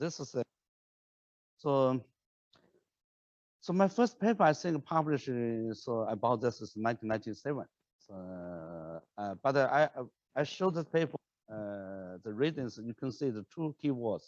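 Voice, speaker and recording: A man's medium-pitched voice with a non-native accent, very wide pitch swings and big swings in loudness, at a moderate pace with long, frequent pauses, in a dry, close sound with no echo against a quiet background. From China. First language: Chinese. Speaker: professor. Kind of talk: lecture. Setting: lecture hall with online audience. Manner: halting, many repetitions and fillers.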